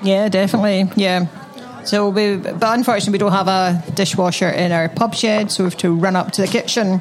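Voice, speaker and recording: Noticeable background noise behind a woman at a medium pitch, with fairly even intonation and a fairly quick pace. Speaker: podcast co-host. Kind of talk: casual chat.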